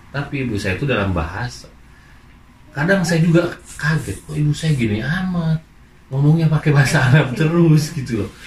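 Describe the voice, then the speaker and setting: Noticeable background noise surrounds a man with a fairly high voice who talks fairly quickly with lively intonation. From Indonesia. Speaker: migrant worker. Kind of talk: interview.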